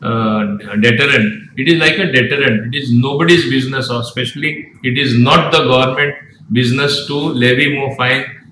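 With light background noise and audible room echo, a man talks at a moderate pace with ordinary pitch variation. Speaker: state minister. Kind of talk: interview answer. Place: office.

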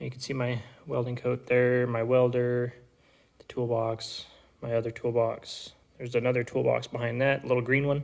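The speaker is a man. Nothing much can be heard behind him. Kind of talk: casual vlog chat. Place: workshop. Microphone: phone near.

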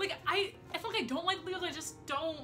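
Woman speaking over clear music in the background. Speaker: vlogger. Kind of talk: casual talk to camera. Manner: fast. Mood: playful, joking rants. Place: home room. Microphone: phone near.

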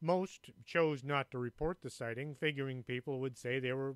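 Here is a man with a plain, everyday voice. He speaks at a moderate pace and medium pitch with ordinary pitch variation. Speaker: radio show host and author. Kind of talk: ghost story telling, spooky narration of Mothman sightings in a hushed, foreboding tone. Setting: radio studio.

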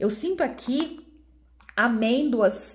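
A woman speaks in a high voice with an animated tone. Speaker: beauty YouTuber. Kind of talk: product review.

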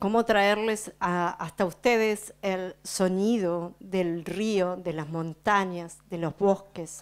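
With fairly even intonation, a woman speaks at a very slow pace. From Patagonia, Argentina; Argentina. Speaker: speaker. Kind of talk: speech to audience, interpreted. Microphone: handheld.

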